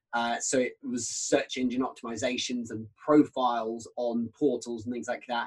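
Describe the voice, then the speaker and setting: A man with a British accent. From UK. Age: 30s. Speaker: sales trainer. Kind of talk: casual chat.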